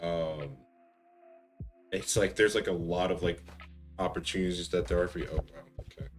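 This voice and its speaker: With music in the background, the voice keeps a relaxed tone at a moderate pace. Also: man. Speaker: streamer and aspiring voice actor. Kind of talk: casual chat while gaming. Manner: relaxed, many fillers.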